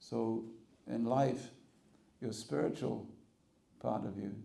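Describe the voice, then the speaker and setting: Audible room echo surrounds a man whose fairly low voice has vocal fry, a dark, mellow tone and ordinary pitch variation. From England. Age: 60s. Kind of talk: spiritual talk. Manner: conversational, humorous.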